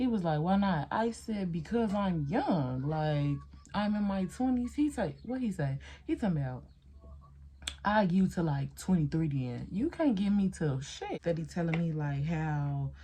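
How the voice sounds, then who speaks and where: A woman speaks at a moderate pace in a fairly low, somewhat breathy voice with a dark, mellow tone. Her intonation is lively. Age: 20s. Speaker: beauty vlogger. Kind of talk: casual chat. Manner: animated.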